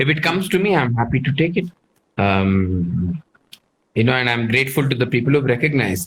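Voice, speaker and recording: A man speaks at a fairly quick pace, somewhat breathy, with very even loudness and very wide pitch swings. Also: medium pitch for a man. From southern India, Karnataka. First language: Telugu. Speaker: chef. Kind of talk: casual interview.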